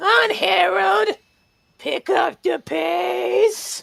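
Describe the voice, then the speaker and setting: A put-on character voice, raspy and wheezy, at a middle pitch and a very slow pace. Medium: actual play. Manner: cruel, taunting.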